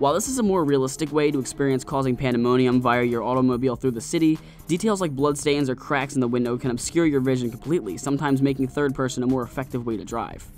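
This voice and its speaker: Music plays in the background while a man talks at a medium pitch, his pitch showing ordinary variation. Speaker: video game reviewer. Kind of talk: game review narration.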